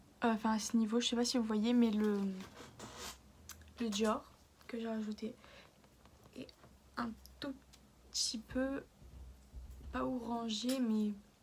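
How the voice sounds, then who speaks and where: At a very slow pace and with long, frequent pauses, a woman speaks in a fairly high, monotone, flat voice. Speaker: beauty vlogger. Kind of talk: makeup tutorial. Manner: halting, many hesitations; softer than usual.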